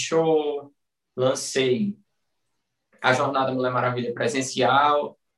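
A man holds a medium pitch and fairly even intonation, talking very slowly with long pauses that come often. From Pernambuco interior, Brazil. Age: 20s. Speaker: personal trainer. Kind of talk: casual interview chat.

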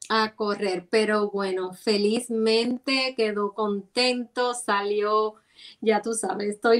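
A woman talks very slowly at a fairly high pitch. Her intonation stays fairly even. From Cuba, Santiago de Cuba. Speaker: music promoter and costume designer. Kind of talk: casual interview conversation.

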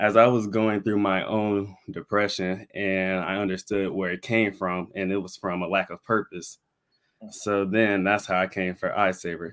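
Over a very clean, silent background, a man with an American accent talks at a moderate pace in a fairly low pitch with monotone, flat intonation. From Florida, Pensacola. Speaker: student and entrepreneur. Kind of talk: interview.

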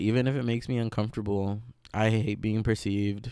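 The man's voice sits at a fairly low pitch and carries a dark, mellow tone. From Mexico, Veracruz. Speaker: podcaster and astrology student. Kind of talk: casual solo monologue. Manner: rambling, hesitant with many fillers.

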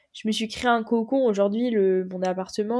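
A woman speaks with a fairly high pitch. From northern France (Picardie, Noyon). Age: 20s. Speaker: sport shooter. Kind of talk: interview. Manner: casual, halting with fillers.

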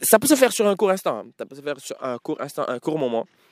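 On a very clean recording with a silent background, a man speaks in an animated tone with ordinary pitch variation, the sound dry and close with no echo. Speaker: podcast host. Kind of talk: casual solo monologue. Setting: outdoors in nature. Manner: animated, code-switching French and English.

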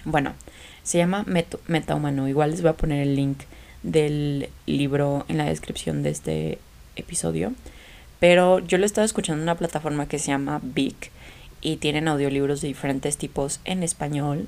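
A woman speaks at a moderate pace with a very deep, low pitch, an animated tone and ordinary pitch variation. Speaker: podcast host. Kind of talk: casual chat.

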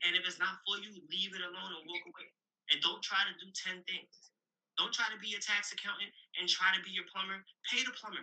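A man with a New York accent speaks at a fairly quick pace in a high pitch. His loudness swings widely. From Brooklyn, New York. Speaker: real estate investor and author. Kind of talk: interview. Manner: animated.

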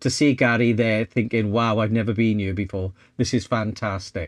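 A man with a South Wales Valleys accent and fairly even intonation, dry, close sound with no echo, over a quiet background. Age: 60s. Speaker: photographer and vlogger. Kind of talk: casual chat.

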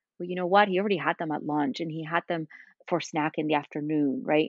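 With ordinary pitch variation, a woman talks in a Spanish accent. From Spain. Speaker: cookbook author and meal-planning entrepreneur. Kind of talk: casual interview.

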